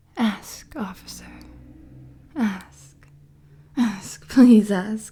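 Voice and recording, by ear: A woman's put-on character voice with a dark, mellow tone and a husky, rough edge, ordinary pitch variation and a very slow pace. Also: medium pitch for a woman.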